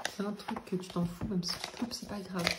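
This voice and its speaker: A soft-spoken woman talks at a medium pitch with fairly even intonation. Noticeable background noise runs underneath. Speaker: vlogger. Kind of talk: casual vlog. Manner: hesitant, many fillers.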